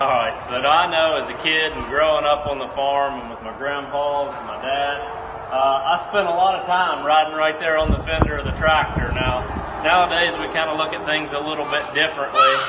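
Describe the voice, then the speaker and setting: Noticeable background noise behind a male voice at a moderate pace. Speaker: presenter. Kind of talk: tutorial. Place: garage. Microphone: phone near.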